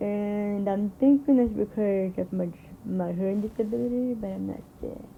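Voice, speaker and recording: Somewhat breathy, a woman of medium pitch talks at a moderate pace with ordinary pitch variation. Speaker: YouTuber reacting to videos. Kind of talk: casual reaction commentary. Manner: halting.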